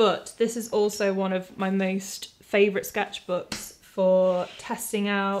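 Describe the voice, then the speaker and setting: Light background noise sits behind the voice. A woman speaks with a British accent. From UK. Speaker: artist and video creator; video creator. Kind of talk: product review tutorial. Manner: casual, conversational. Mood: warm, light-hearted. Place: home room.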